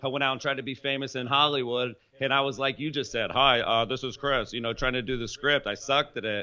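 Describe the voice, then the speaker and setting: You hear a man with a Southern US accent. His intonation stays fairly even. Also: medium pitch for a man. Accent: Southern drawl. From US South, Polk County, central Florida. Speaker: entrepreneur and sales expert. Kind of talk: interview.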